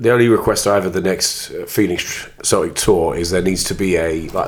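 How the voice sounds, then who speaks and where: The man's pitch sits very deep and low. His intonation stays fairly even. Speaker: football podcast host. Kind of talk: casual banter about football. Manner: joking, laughs often.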